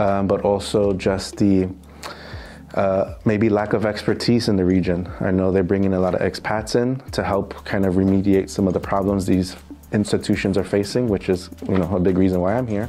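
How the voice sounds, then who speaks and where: A man with a New York accent, fairly low in pitch, at a moderate pace with monotone, flat intonation and very even loudness. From US, New York City. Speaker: financial crime compliance specialist. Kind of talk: interview. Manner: hesitant, many fillers.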